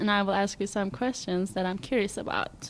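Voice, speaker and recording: In a Turkish accent, a woman speaks at a medium pitch. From Turkey, Istanbul. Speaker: student podcast host. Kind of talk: casual interview chat.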